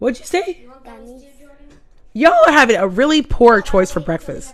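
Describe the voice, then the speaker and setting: Loud and animated, a woman speaks at a moderate pace with a high pitch and very wide pitch swings. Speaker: livestream host. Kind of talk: casual chat.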